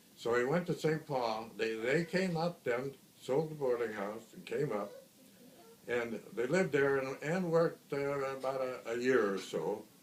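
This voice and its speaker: A man with an American accent talks at a fairly slow pace, his fairly high pitch showing ordinary variation, against noticeable background noise. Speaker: grandfather. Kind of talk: family storytelling, casual recollection. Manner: hesitant, many fillers.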